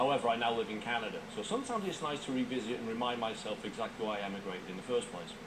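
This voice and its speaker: A man with a British accent talks at a very fast pace, hardly pausing, at medium pitch with ordinary pitch variation. Noticeable background noise and audible room echo are present. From UK. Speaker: video commentator. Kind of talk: video commentary.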